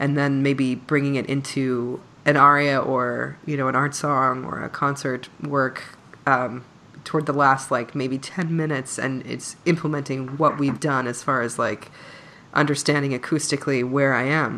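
Speaking at a fairly slow pace, a woman has a very deep, low pitch and a bright, sharp tone. Her intonation is monotone and flat. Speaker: podcast host and singer. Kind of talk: casual interview chat.

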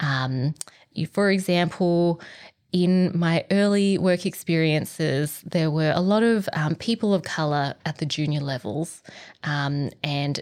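With an Australian accent, a woman speaks at a very deep, low pitch with ordinary pitch variation. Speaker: organizational psychologist. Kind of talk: casual interview.

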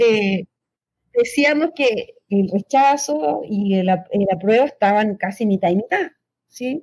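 A woman talks at a very slow pace. Her voice is somewhat breathy and fairly high-pitched. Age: young. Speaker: political scientist. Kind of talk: interview.

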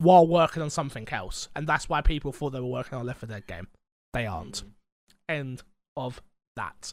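A man talks with a London accent. His pitch varies in an ordinary way. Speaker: podcast host. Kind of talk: casual chat. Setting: recording from bedroom.

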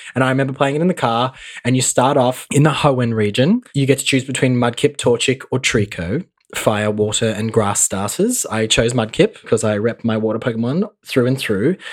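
An Australian accent carries this man's animated, medium-pitched speech at a moderate pace. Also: ordinary pitch variation. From Australia, Mildura, Victoria. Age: 20s. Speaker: guest. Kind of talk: casual chat.

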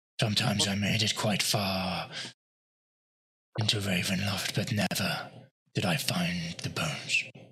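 A man does a put-on character voice, raspy and fairly low, at a moderate pace. He leaves long, frequent pauses. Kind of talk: fantasy roleplay voice. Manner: bitter, weary, despairing.

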